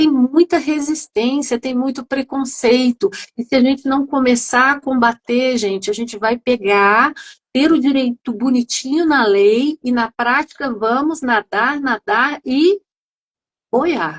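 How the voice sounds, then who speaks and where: Her pitch is high and varies in an ordinary way. The woman talks at a very slow pace. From interior of São Paulo state, Brazil. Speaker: psychoanalyst and patient group founder. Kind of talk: live stream discussion. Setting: live video stream. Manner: animated.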